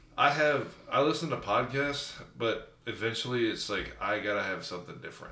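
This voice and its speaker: A normal speaking voice from a man, at a moderate pace with ordinary pitch variation. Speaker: guest cousin. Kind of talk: casual chat.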